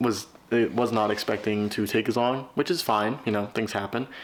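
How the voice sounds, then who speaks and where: A mumbling man at medium pitch, with fairly even intonation and a moderate pace. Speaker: vlogger writing a novel. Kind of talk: casual vlog.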